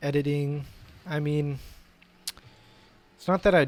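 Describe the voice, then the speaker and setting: A man at a moderate pace in a monotone, flat intonation. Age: 18. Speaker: YouTuber. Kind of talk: casual vlog commentary. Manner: halting, filler words.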